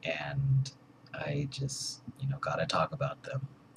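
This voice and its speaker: A man with vocal fry talks fairly slowly at a medium pitch. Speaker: vlogger. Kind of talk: personal vlog monologue. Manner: hesitant, many fillers.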